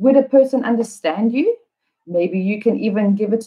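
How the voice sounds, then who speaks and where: Speaking with a South African accent, a woman talks at a fairly slow pace and medium pitch, her voice somewhat breathy. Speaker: English teacher. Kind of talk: live online lesson. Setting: livestream.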